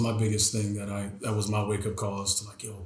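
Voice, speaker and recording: With an American accent, a man speaks at a fairly quick pace and a fairly low pitch amid noticeable background noise and audible room echo. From Southern California, San Fernando Valley. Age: 30s. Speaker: filmmaker and aspiring entrepreneur. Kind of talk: casual chat. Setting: podcast interview.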